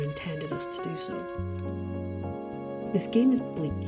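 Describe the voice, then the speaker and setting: Music plays in the background as a woman speaks in a calm tone. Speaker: hobby journaling and game review channel host. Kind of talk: casual talk to camera. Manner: calm, cozy.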